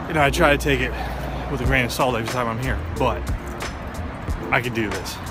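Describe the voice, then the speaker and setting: Music plays in the background as a man talks at a moderate pace, in a dry sound with no echo. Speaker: vlogger. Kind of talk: casual vlog chat. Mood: reflective, musing. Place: street. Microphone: phone near.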